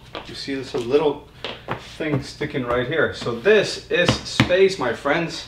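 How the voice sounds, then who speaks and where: A man talks at a very slow pace with ordinary pitch variation. Room echo is audible, and there is noticeable background noise. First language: not English. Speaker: board game youtuber. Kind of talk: unboxing video. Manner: casual, animated.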